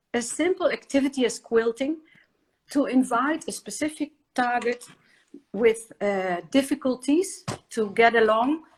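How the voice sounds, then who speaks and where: Loud and high-pitched, a woman speaks at a fairly slow pace. She leaves long, frequent pauses. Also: lively intonation. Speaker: inclusion consultant. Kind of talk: interview. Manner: halting.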